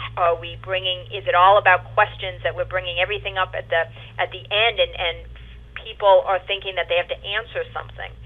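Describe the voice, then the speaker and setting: A woman talks at a fairly quick pace with a New York accent. Her loudness swings widely. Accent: New York accent, still noticeable. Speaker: home care operations director. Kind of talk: webinar presentation. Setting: webinar.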